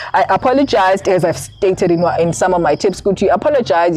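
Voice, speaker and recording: Noticeable background noise runs throughout. Over it, a woman speaks at a moderate pace. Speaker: candidate attorney, vlogger. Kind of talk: advice vlog. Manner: halting.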